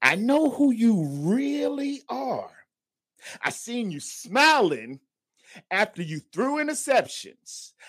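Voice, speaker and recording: In an American accent, a man with an extremely high pitch speaks at a very slow pace, his pitch swinging very widely. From US South. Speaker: regular caller, sports fan. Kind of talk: call-in commentary. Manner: emphatic.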